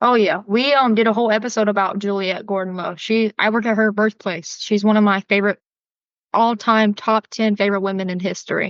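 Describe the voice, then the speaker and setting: A woman with a Southern US accent talks at a fairly quick pace in a monotone, flat intonation. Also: medium pitch for a woman. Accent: Southern accent, lighter than some. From US South, Augusta, Georgia. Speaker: tour guide and podcast host. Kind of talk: casual chat. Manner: fast.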